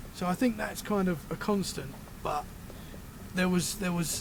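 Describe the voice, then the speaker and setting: Noticeable background noise sits behind speech delivered at a fairly quick pace. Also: man. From Britain. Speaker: paranormal podcaster. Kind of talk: casual chat.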